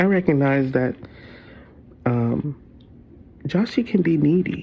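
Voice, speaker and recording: Speaking at a very slow pace, a man keeps his pitch fairly high. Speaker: vlogger sharing personal reflections. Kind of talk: casual personal vlog monologue. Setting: lying in bed. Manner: loud; halting, searching for words.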